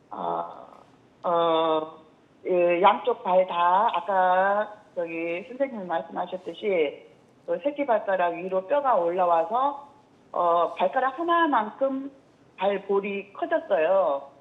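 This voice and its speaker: Speaking at a very slow pace, a woman uses a medium pitch and lively intonation. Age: 60s. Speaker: caller, hairdresser. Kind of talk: phone-in question. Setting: phone call. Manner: halting.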